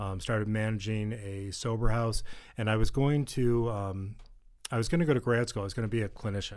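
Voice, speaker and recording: An unremarkable speaking voice from a man with an American accent, fairly low in pitch, at a fairly quick pace with fairly even intonation. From Western New York, near Buffalo. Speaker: addiction treatment executive. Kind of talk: interview, personal testimony. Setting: studio.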